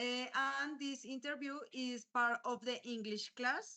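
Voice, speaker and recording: The voice has a bright, sharp tone. It comes with a Colombian accent. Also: woman. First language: Spanish. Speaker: university student. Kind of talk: interview. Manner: halting.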